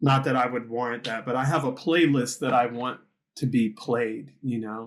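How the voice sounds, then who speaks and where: A man speaks in a normal speaking voice at medium pitch. His intonation is fairly even and his pace moderate. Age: 60s. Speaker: musician and podcast host. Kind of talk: casual chat.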